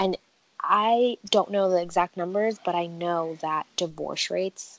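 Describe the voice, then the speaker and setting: Low-ish in pitch, fairly so for a woman, she speaks with a New York accent. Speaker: podcast guest. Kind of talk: casual chat.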